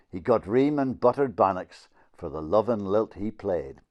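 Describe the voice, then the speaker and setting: Over a quiet background, a man with a northeast Scottish accent talks at a moderate pace, his fairly low pitch making very wide swings. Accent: Doric Scots. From Northeast Scotland. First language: Doric Scots. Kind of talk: poetry reading in dialect.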